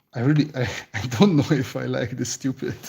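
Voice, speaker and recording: The speaker has a Hungarian accent. The pace is moderate. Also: man. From Romania (Hungarian-speaking). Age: 30s. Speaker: concept artist. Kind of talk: live stream chat while sketching. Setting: live stream.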